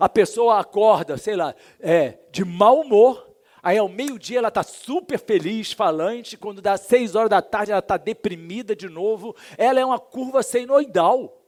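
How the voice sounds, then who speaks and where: In a very clean, dry, close recording with no echo and a silent background, a man with a high voice speaks at a fairly slow pace with ordinary pitch variation. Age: 60s. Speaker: pastor. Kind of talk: sermon. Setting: church. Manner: hesitant fillers.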